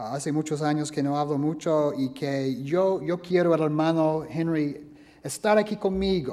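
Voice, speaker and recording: A man with a non-native accent and a dark, mellow tone, at a fairly slow pace with ordinary pitch variation and audible room echo. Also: fairly high pitch for a man. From US South, Alabama. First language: English (speaking Spanish). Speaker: preacher and history professor. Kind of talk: sermon.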